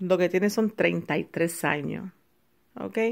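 A woman speaks in an animated tone, her pitch swinging very widely. The background is quiet. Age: 40s. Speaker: video blogger; vlogger. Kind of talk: personal rant. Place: home room.

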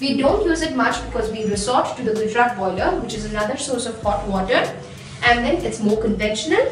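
Amid light background noise and audible room echo, a woman talks at a fairly quick pace. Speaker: home tour guide. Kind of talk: casual tour narration. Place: bathroom.

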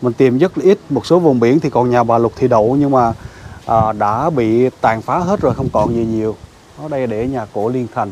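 Recorded dry with no echo and light background noise, a man speaks at a moderate pace and medium pitch with ordinary pitch variation in a plain, everyday voice. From Phan Thiet, south-central Vietnam; Vietnam. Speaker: YouTuber exploring old houses. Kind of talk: walking vlog tour. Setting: on location at an old house, outdoors. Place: garden. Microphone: lapel.

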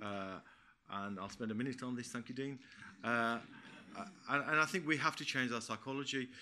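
A bright, sharp male voice at a fairly quick pace, broken by long, frequent pauses, over light background noise. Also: ordinary pitch variation. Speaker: retired police commander. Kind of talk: conference panel talk. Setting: stage with audience. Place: meeting room.

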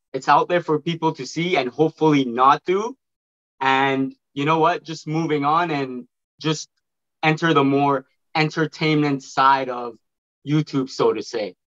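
A man with a fairly high voice talks at a fairly slow pace against a quiet background, leaving long, frequent pauses. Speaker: online video creator. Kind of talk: casual chat. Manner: animated. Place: home room. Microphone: video call.

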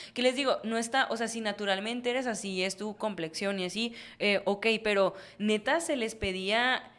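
A woman with a fairly high pitch and an animated tone speaks at a moderate pace, her pitch varying in an ordinary way. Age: 20s. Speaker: podcast co-host. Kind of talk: casual chat. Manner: animated, laughing often. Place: studio. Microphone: studio mic.

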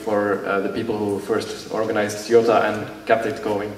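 Light background noise and audible room echo surround this recording of a man. He speaks fairly slowly, with a fairly low pitch. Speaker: youth amateur radio participant. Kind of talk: ceremony speech. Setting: stage with audience. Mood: grateful, warm. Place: hall.

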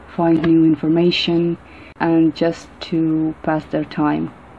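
A woman speaks at a fairly slow pace with a fairly low pitch. Light background noise can be heard. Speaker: presenter. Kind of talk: conference presentation. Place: hall.

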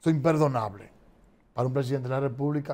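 A man's slightly mellow voice at a medium pitch

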